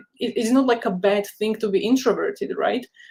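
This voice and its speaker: A woman with a non-native accent speaks at a moderate pace with ordinary pitch variation. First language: not English. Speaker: career counsellor and software developer. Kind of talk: webinar interview, casual advice.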